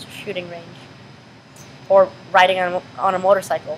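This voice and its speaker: There is noticeable background noise behind this woman with an American accent. Her medium-pitched voice stays monotone, with flat intonation. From US Pacific Northwest, Washington. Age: 20s. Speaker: college student with Tourette syndrome, interviewee. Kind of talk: interview. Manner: halting, with repetitions and possible vocal tics.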